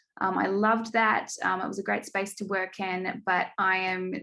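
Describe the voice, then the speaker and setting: A woman speaks at a moderate pace and medium pitch, with a slight New Zealand accent. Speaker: program manager. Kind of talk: online event hosting.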